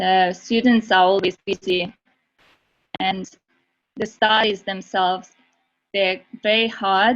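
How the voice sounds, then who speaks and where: Speaking very slowly in a Russian accent, a woman with a medium pitch holds a monotone, flat intonation and leaves long, frequent pauses. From Russia (Moscow). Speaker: university student. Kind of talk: webinar presentation.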